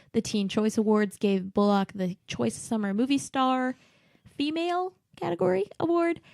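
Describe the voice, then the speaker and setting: On a very clean recording with a silent background and a dry, close sound with no echo, a woman speaks fairly slowly at a fairly high pitch. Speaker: podcast co-host. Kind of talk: casual chat.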